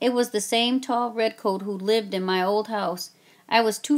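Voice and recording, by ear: The text is read aloud. The voice used is natural.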